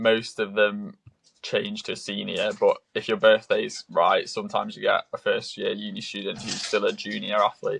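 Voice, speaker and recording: A man speaks at a moderate pace with a British accent. The sound is dry and close with no echo. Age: 20s. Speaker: triathlete. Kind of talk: podcast interview. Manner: hesitant, many fillers.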